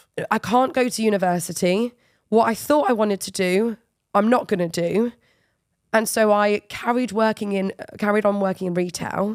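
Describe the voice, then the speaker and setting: A woman speaks at a moderate pace and a medium pitch, with ordinary pitch variation. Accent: English. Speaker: football media presenter. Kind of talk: interview conversation.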